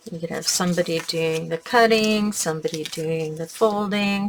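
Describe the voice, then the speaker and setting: A woman's fairly low-pitched voice against noticeable background noise. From Canada. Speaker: crafting tutorial host. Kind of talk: tutorial. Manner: casual, chatty.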